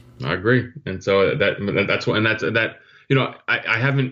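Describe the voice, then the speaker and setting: Over a quiet background, a man with a New Jersey accent speaks with ordinary pitch variation. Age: 50s. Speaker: retired intelligence officer. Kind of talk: interview. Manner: halting with many repetitions.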